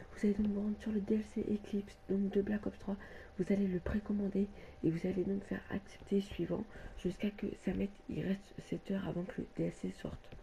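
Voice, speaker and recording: A soft-spoken woman at a medium pitch and a fairly quick pace, monotone and flat in intonation. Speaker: gaming youtuber. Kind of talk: tutorial. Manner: halting.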